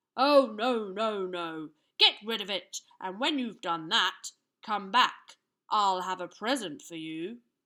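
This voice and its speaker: Putting on a character voice, a woman speaks fairly slowly at a medium pitch with lively intonation. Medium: read story. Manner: loud, bossy.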